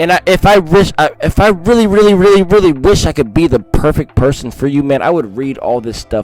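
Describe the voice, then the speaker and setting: Over noticeable background noise, a man talks at a moderate pace in a fairly high pitch, his voice swinging very widely up and down. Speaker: scripture reader, religious channel host. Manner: halting, frequent repetitions and self-corrections.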